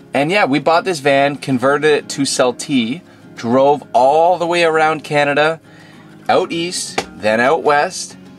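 The loudness stays very even, with ordinary pitch variation. Faint music plays in the background. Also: man. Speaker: van life vlogger. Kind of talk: casual vlog chat. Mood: nostalgic, light laughter. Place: car. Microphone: phone near.

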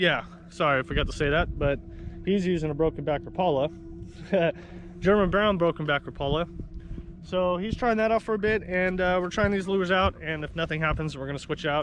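A man speaks at a fairly quick pace with ordinary pitch variation. The sound is dry with no echo, and there is light background noise. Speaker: fishing vlogger. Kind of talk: casual vlog chat. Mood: relaxed, upbeat. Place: boat. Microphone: phone near.

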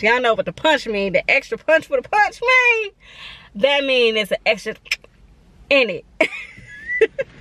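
A raised, projected voice with an animated tone and very wide pitch swings at a fairly slow pace, the sound dry and close with no echo and noticeable background noise behind it. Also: woman. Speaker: beauty vlogger and freelance makeup artist. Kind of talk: casual vlog monologue. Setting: on the go, salon. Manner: casual, chatty, animated.

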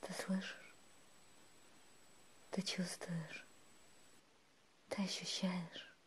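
Whispering in a soothing tone, a woman speaks at a very slow pace with long, frequent pauses. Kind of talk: ASMR relaxation monologue. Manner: whispered, soothing.

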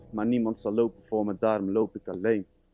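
A man speaks at a moderate pace with fairly even intonation. The sound is dry with no echo, and faint music plays in the background. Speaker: music student; student poet. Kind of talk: spoken word performance. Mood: earnest, melancholic. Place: stage.

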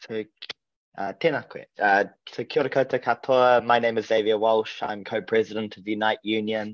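Recorded dry and close with no echo against a quiet background, this is a normal speaking voice. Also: man. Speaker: union representative. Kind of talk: committee submission. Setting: video call.

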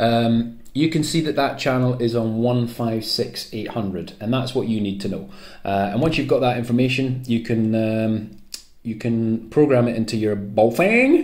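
A man talks at a fairly slow pace with fairly even intonation. The background is quiet. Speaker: radio hobbyist. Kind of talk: tutorial. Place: home room. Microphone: phone near.

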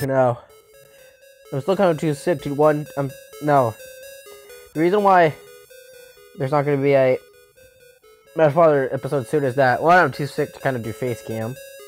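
The speaking moves at a moderate pace, broken by long, frequent pauses. Music plays in the background. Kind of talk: casual let's play gameplay commentary.

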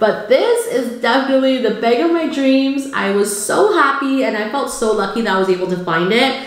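In a room with audible echo, a woman with a high voice speaks at a moderate pace with hardly any pauses, her tone animated and her intonation lively. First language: not English. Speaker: cooking YouTuber. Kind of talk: haul video talk. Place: home room.

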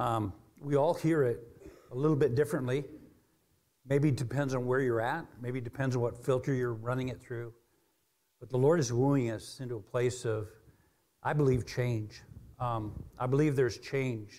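A man's dark, mellow voice, somewhat breathy, at a moderate pace with long, frequent pauses, fairly even intonation and a quiet background. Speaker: preacher. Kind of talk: sermon. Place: church.

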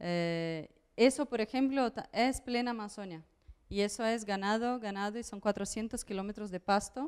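In a Portuguese accent, a woman speaks at a fairly slow pace and a fairly high pitch with ordinary pitch variation, against a quiet background. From central Brazil, near Brasília. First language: Portuguese (speaking Spanish). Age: 30s. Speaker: artist, curator and educator; educator. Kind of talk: public talk. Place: home room. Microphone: handheld.

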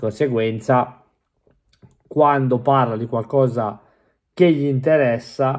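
A man talking at a fairly slow pace. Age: 40s. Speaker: football commentator; football fan vlogger. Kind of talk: casual monologue. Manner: animated. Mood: resigned, mildly frustrated. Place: home room. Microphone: studio mic.

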